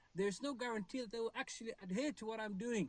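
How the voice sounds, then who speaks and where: This is a man speaking. His pitch is high. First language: not English. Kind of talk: panel discussion. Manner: halting.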